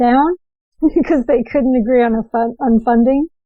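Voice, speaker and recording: A woman talks at a fairly quick pace in a normal speaking voice. Her pitch is fairly high, and she speaks with an American accent. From New Jersey. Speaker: podcast host. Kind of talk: interview.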